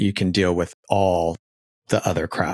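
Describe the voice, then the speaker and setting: Someone with an American accent speaks at a fairly slow pace in a dry, close sound with no echo. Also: man, very clean recording, silent background. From Arizona, Phoenix. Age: 40s. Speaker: podcast host and TV producer. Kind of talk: casual interview.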